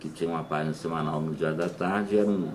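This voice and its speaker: Talking at a fairly quick pace, a man with a very deep, low voice keeps his intonation fairly even, with audible room echo and noticeable background noise. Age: 50s. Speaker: former TV art editor. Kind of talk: interview reminiscence. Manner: halting, with self-corrections.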